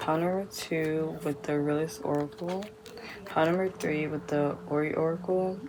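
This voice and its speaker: A quiet woman with a very deep, low pitch and ordinary pitch variation speaks amid noticeable background noise and audible room echo. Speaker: tarot card reader. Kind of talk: pick-a-card tarot reading. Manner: speaking quietly; casual, filler-heavy.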